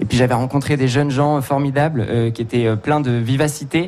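A man's medium-pitched voice at a fairly quick pace, over noticeable background noise. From Touraine, France. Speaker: singer. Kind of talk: radio interview. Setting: studio with live audience.

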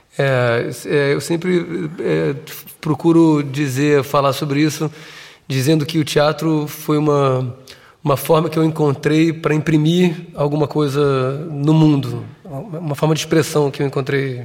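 Over noticeable background noise, a man with a Portuguese accent speaks at a fairly slow pace in a fairly high pitch, his intonation monotone and flat. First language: Portuguese (speaking French). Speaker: theatre director. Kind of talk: interview. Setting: studio with live audience. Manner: halting.

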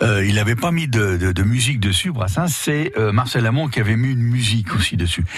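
A man's medium-pitched voice at a fairly quick pace, with lively intonation and noticeable background noise. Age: 70s. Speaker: singer. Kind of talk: radio interview. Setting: studio.

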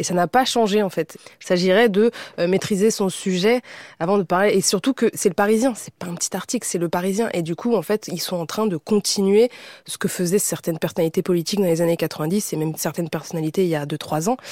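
Dry and close with no echo, a woman's medium-pitched, plain, everyday voice moves at a fairly quick pace with ordinary pitch variation. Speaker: content creator. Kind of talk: casual panel discussion.

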